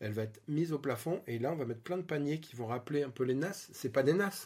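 The man's voice sounds somewhat breathy. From Île-de-France (Vallée de Chevreuse). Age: 40s. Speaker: interior designer and property investor. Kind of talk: interview. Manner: casual, hesitant with fillers.

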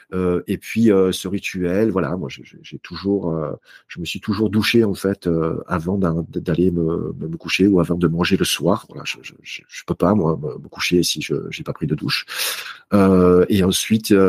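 The speech moves at a very slow pace with fairly even intonation and big swings in loudness. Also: man, very deep, low pitch for a man. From southern France, Marseille. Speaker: author and speaker on health. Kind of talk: interview conversation.

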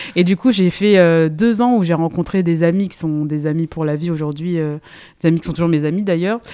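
Here is a woman with a fairly low pitch. Her pitch variation is ordinary. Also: fairly quick pace. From Île-de-France, Seine-et-Marne. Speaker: entrepreneur, brand co-founder. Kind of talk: casual interview chat. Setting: in person at her workshop. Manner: hesitant, many fillers.

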